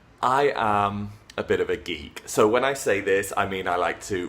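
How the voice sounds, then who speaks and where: This man has a British accent and a fairly low pitch. He talks at a fairly slow pace with ordinary pitch variation. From England. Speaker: English teacher. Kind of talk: casual talk to camera.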